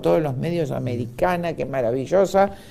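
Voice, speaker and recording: The tone is dark and mellow. Pitch swings very widely throughout. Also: man. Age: 60s. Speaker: doctor. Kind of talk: interview.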